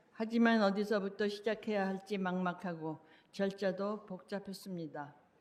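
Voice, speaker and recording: Speaking at a fairly quick pace with fairly even intonation, a woman talks with a Korean accent. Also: medium pitch for a woman. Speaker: public commenter. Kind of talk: public comment speech. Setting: city council meeting.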